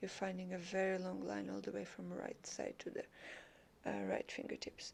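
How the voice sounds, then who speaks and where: The speaker has a non-native accent and a calm tone. The pace is moderate. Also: woman. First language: not English. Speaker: yoga teacher. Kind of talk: yoga class instruction. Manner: calm, guiding.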